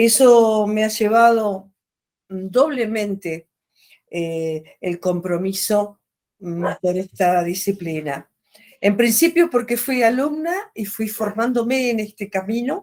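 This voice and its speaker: With an Argentine accent, a woman talks at a very slow pace, her fairly high voice carrying lively intonation. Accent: Rioplatense Argentine Spanish. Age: 60s. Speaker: artist and retired art teacher. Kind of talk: interview.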